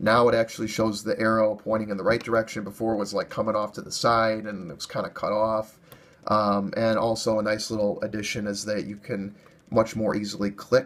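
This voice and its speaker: Against noticeable background noise, a man talks at a fairly low pitch in a monotone, flat way. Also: fairly quick pace. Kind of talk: casual tech screen-recording walkthrough. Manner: casual, hesitant with fillers.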